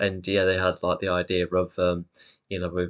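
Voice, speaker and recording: Someone with an English accent speaks at a fairly quick pace. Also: man. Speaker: music video reviewer. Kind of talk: casual solo commentary. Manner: halting, many fillers.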